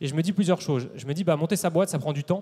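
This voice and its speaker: A man talks very fast in a fairly high voice with a dark, mellow tone and fairly even intonation. The recording is very clean, with a silent background. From France, Paris. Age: 30s. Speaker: entrepreneur. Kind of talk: conference talk. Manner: hesitant fillers.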